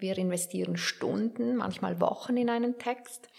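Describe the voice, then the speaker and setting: A woman talks over noticeable background noise. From Switzerland, Werdenberg (St. Gallen). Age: 50s. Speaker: author and biographer. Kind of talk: interview.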